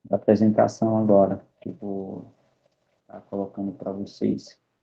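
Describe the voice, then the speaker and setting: A man with a non-native accent speaks at a very slow pace, his fairly low voice monotone and flat. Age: 20s. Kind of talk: online presentation. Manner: halting.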